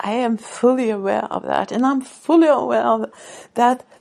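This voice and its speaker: A woman speaks in a Swedish accent. Her pace is very slow. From Sweden. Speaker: author and podcaster. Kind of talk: casual monologue. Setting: radio show or podcast. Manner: halting.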